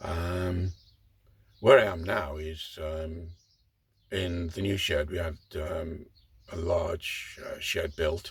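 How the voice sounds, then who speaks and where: A very slow, somewhat breathy man with a very deep, low voice and an English accent, fairly even intonation, and long, frequent pauses. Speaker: model railway hobbyist. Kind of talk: casual vlog monologue. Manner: hesitant, many fillers.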